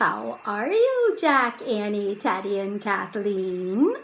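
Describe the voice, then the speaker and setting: Through clear background noise, a woman uses a put-on character voice at medium pitch and a very slow pace. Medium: read story. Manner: friendly, knowing.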